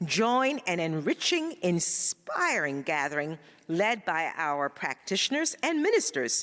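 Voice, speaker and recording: At a fairly slow pace, a woman speaks with a fairly low pitch. Her pitch swings very widely. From Ghana. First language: Ga. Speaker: spiritual practitioner, church announcer. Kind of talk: church announcements; greeting to congregation.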